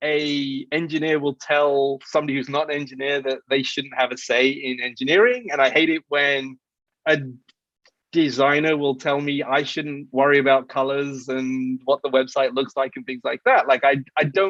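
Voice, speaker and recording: In an English accent, a man speaks at a moderate pace. His pitch is fairly high and his intonation fairly even. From England. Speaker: software engineer and startup CTO. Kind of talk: interview. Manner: halting, many repeated words and restarts.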